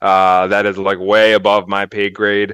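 At a moderate pace, a man with an American accent speaks in a normal speaking voice with a fairly low pitch. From US Northeast, Philadelphia. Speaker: toy company marketing executive. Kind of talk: casual interview. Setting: office, remote call.

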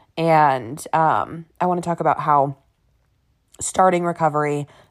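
A woman speaks at a very deep, low pitch. The recording is very clean, with a silent background. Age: 20s. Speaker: solo podcast host. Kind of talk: casual monologue. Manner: fast; animated.

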